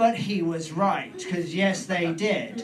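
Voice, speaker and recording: Over noticeable background noise, a man with a British accent speaks in a high voice with lively intonation. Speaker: stand-up comedian. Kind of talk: stand-up comedy storytelling.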